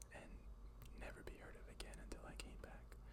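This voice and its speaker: Over noticeable background noise, someone is whispering at a moderate pace. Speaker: ASMR creator. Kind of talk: ASMR whisper ramble. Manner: whispered.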